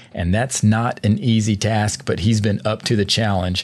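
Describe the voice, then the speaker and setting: Moderate pace in a Southern US accent. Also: man. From US South, Georgia. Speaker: sports podcast host. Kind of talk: interview.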